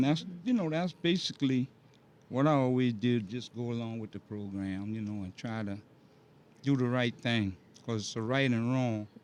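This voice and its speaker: A man is speaking at a moderate pace. He has an American accent. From South Carolina. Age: 60s. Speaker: elderly housing resident, interviewee. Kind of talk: interview. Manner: casual, halting.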